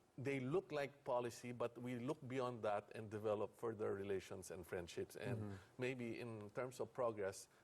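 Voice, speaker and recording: Here is an unremarkable speaking voice from a man at medium pitch with ordinary pitch variation. He keeps a moderate pace with hardly any pauses. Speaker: think-tank director and trade negotiator. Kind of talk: TV interview answer.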